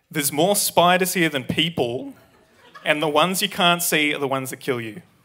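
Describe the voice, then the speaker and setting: Here a man talks fairly quickly with an Australian accent. His pitch is fairly high, with ordinary variation. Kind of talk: natural, conversational.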